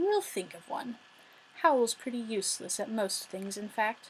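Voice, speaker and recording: A woman does a put-on character voice at a fairly high pitch. Her speech comes at a moderate pace and has a hissing quality. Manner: venomous, hissing.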